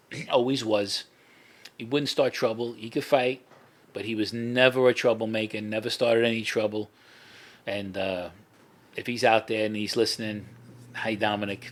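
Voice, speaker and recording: With a New York accent, a man speaks at a moderate pace and medium pitch in a monotone, flat intonation, leaving long, frequent pauses. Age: 60s. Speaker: former mafia associate. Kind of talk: casual chat. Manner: halting, many fillers and restarts.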